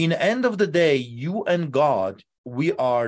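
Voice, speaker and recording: With a Polish accent, a man speaks in a passionate tone on a very clean recording with a silent background. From Poland. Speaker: pastor. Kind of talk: interview, passionate preaching. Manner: passionate, forceful.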